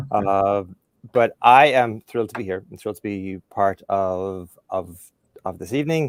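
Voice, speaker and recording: On a very clean recording with a silent background, a man with a fairly low pitch talks at a fairly slow pace with ordinary pitch variation and big swings in loudness, the sound dry and close with no echo. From Ireland. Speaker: career development professional. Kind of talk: podcast interview.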